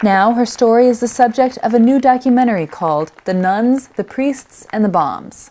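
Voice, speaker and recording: A woman speaks in an unremarkable speaking voice. Her intonation is lively. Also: fairly high pitch for a woman, moderate pace, hardly any pauses. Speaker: news reporter. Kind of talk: news report narration.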